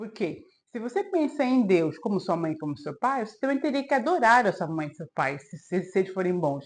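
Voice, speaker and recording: A woman at medium pitch speaks at a moderate pace with very wide pitch swings and big swings in loudness, over a quiet background. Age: 40s. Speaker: self-help video creator. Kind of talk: advice monologue to camera.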